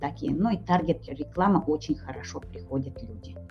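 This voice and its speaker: With music playing behind her, a woman speaks in very wide pitch swings. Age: 60s. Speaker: network marketing distributor, retired nurse. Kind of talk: interview. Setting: webinar. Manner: halting.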